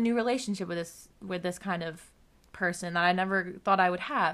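A woman talks at a fairly quick pace in a bright, sharp tone with ordinary pitch variation, on a very clean recording with a silent background. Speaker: podcast host. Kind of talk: casual chat. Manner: filler-heavy, uses many likes.

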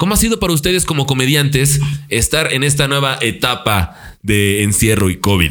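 With music in the background, a man with a fairly high pitch speaks at a moderate pace, swinging his pitch very widely while keeping his loudness very even. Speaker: podcast host. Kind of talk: casual chat.

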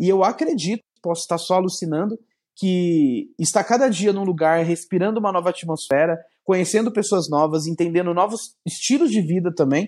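Recorded very cleanly against a silent background, with a dry, close sound and no echo, a man talks at a fairly quick pace in a high voice with ordinary pitch variation. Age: 30s. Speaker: entrepreneur. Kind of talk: casual interview chat.

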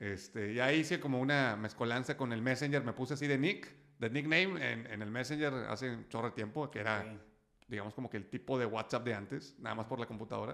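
A man with a medium-pitched voice talks very fast, his pitch varying in an ordinary way. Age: 30s. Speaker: entrepreneur and sales speaker. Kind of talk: interview.

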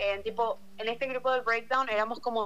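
Here a woman talks at a fairly quick pace. Her fairly high voice has a bright, sharp tone. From Paraguay, Luque. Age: 18. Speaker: university applicant sharing experience. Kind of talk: casual chat.

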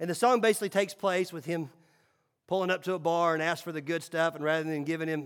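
Recorded very cleanly against a silent background, a man with a Southern US accent speaks at a high pitch. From Tennessee, Nashville. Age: 40s. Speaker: pastor. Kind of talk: sermon.

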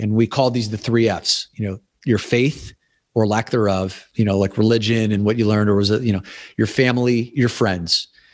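Against a quiet background, a man with an ordinary speaking voice talks at a fairly quick pace. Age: 40s. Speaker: podcast host and men's coach. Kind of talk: casual chat.

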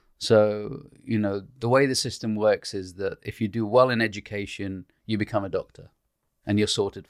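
Though his pace is fairly quick, a man with a fairly low pitch and monotone, flat intonation leaves long, frequent pauses, his loudness swinging widely, all in a dry, close sound with no echo. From Iraq, raised in UK. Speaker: doctor and author. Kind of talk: casual chat.

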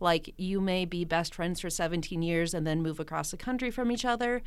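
A woman talks in an ordinary speaking voice. Her pitch is fairly low, with ordinary variation. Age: 20s. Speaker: chemistry teacher and aerialist. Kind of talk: casual interview chat.

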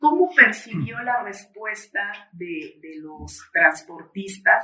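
A woman at a medium pitch, with lively intonation and a very slow pace. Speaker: journalist interviewer. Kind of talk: interview. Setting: studio.

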